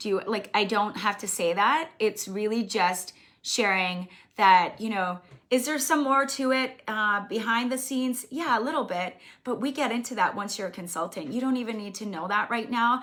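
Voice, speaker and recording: Here a woman speaks in a bright, sharp tone. Her pitch shows ordinary variation. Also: fairly high pitch for a woman, moderate pace. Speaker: direct sales team leader. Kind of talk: live stream training talk. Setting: live video stream.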